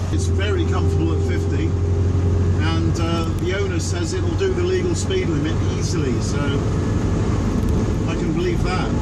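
Amid loud background noise, a man talks at a fairly slow pace with hardly any pauses. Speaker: driver. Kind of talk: casual talk to camera, driving commentary. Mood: cheerful, light-hearted. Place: car. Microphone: camera far.

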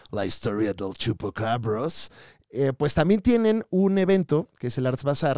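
A man speaks with a Mexican accent at a medium pitch and a fairly slow pace, his pitch swinging very widely. The sound is dry and close, with no echo. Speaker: comedy podcast host. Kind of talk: casual chat. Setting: live show with audience.

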